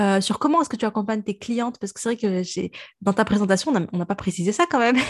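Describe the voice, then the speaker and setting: Speaking at a very fast pace, the voice is somewhat breathy with lively intonation, captured with a dry, close sound with no echo over a quiet background. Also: woman. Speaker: podcast host. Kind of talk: casual chat. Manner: talkative.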